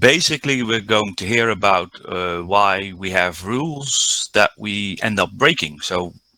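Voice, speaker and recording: Speaking at a fairly slow pace with hardly any pauses, a man with a Dutch accent has a fairly low pitch and a bright, sharp tone. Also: ordinary pitch variation. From Netherlands. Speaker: diving instructor. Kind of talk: conference presentation. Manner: halting, many fillers.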